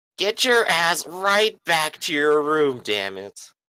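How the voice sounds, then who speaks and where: A put-on character voice at a middle pitch, fairly slow, with very wide pitch swings. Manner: angry, scolding, sharp.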